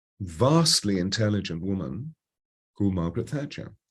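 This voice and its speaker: A man with an English accent, fairly low in pitch, at a moderate pace with very wide pitch swings. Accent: received pronunciation. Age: 70s. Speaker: voice coach. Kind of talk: interview.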